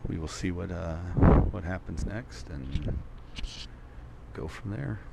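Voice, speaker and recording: A man with a very deep, low pitch speaks fairly slowly with lively intonation. Audible room echo and noticeable background noise surround him. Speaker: pool commentator. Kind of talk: live commentary. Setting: pool hall live stream. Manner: loud.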